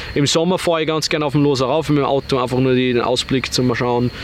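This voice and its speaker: A man talks with fairly even intonation while noticeable background noise plays behind him. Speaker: online entrepreneur. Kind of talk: interview.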